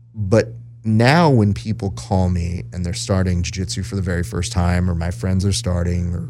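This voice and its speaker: Very deep, low male voice, with noticeable noise in the background. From US, Mexican-American family. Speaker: jiu-jitsu podcaster and social media manager. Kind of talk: casual interview chat. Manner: animated.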